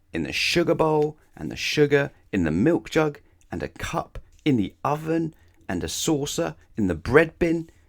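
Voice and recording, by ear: A man with vocal fry speaks at medium pitch and a fairly slow pace, with big pitch swings, in a very clean recording with a silent background.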